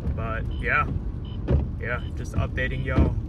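At a fairly slow pace, the voice comes through dry with no echo, against loud background noise. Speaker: driver vlogger. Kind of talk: casual vlog chat. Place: car. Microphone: phone near.

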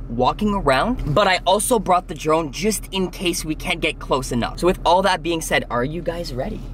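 A man talks at a moderate pace with hardly any pauses and ordinary pitch variation. Light background noise sits behind him. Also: dry sound with no echo. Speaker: vlogger. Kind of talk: casual vlog chat. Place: car. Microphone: phone near.

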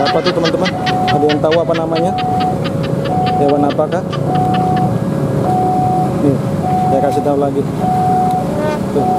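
Speech comes at a very fast pace. Music plays in the background. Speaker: train-spotting vlogger. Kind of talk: casual vlog chat. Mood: playful, amused. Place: street. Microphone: phone near.

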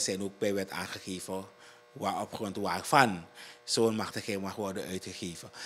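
A man speaks with a Surinamese accent in a fairly low pitch. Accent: Surinamese Dutch. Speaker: district commissioner. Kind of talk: interview. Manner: halting. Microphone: handheld.

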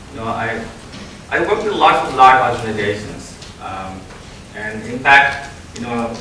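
Moderate pace from a man, audible room echo, and light background noise. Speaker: keynote speaker. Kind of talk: conference keynote talk. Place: hall.

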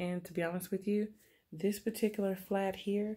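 She speaks in a dark and mellow tone. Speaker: haul vlogger. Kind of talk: casual vlog chat. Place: home room. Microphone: phone near.

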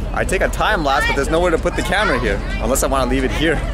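A man is heard with crowd noise in the background. The sound is dry with no echo. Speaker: travel vlogger. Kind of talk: casual vlog chat. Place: boat. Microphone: phone near.

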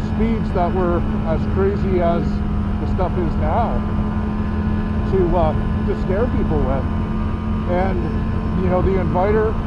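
Loud background noise runs under speech delivered at a fairly slow pace with long, frequent pauses. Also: man. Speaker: snowmobile show host. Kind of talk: commentary. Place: open country.

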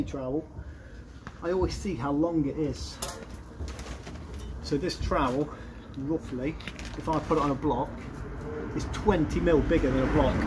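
Noticeable background noise runs behind a man's voice. He speaks at a moderate pace with fairly even intonation. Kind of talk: casual vlog chat. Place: street. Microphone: phone near.

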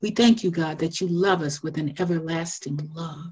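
Against a quiet background, a woman speaks at a fairly slow pace in a fairly low, somewhat breathy voice. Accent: American. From US South, South Carolina. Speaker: minister and Sunday school teacher. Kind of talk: personal testimony and devotional encouragement. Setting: phone prayer line. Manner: measured, earnest and reflective. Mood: reverent, earnest. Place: home room. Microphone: video call.

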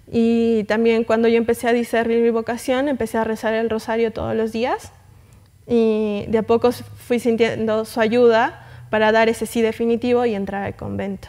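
A dark, mellow voice speaks at a moderate pace in a flat monotone against a quiet background. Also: woman, fairly high pitch for a woman. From Arequipa, Peru; Peru. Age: young. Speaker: guest. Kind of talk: interview. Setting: studio. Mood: calm, warm, devout. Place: studio. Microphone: lapel.

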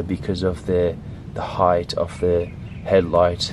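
A man speaks at a very slow pace. The sound is dry with no echo, though background noise is noticeable. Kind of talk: tutorial. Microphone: phone near.

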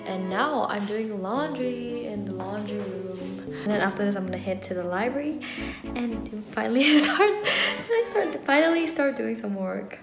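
Clear background music behind a woman's moderately paced speech. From Malaysia. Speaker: university student. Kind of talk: casual talk to camera. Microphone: phone near.

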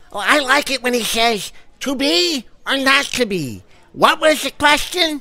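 Moderate pace and high pitch in a put-on character voice. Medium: audio drama. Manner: eager, gossipy, effusive.

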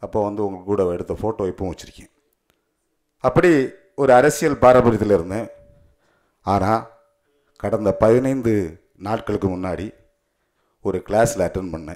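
A man talks in a normal speaking voice, fairly low in pitch with ordinary variation. The background is quiet. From Kanyakumari district, Tamil Nadu; Tamil Nadu. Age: 40s. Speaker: lawyer and party official; speaker. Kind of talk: ceremony speech. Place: hall. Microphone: podium.

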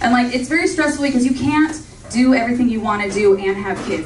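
In an American accent, a woman speaks with lively intonation amid audible room echo and light background noise. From Orange County, California. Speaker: stand-up comedian. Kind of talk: stand-up comedy set with audience laughter, joke-driven storytelling. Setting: comedy club stage with live audience. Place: stage.

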